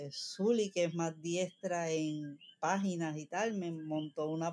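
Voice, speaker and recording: In a very clean recording with a silent background, a woman speaks with a Puerto Rican accent and a dark, mellow tone. Her pitch is fairly low, and her pace is very slow. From Puerto Rico. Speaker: cabinetmaker. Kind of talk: casual chat.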